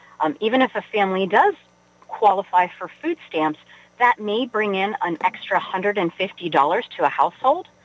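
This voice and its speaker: A woman with an American accent talks in a plain, everyday voice at medium pitch, using lively intonation at a fairly slow pace. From West Virginia (Weirton). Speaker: nonprofit chief executive. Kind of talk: radio interview.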